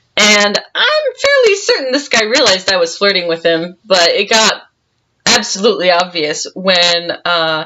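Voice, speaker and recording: A woman at a moderate pace, her loudness very even. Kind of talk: casual storytelling to camera. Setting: home recording, poor audio. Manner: loud, projecting.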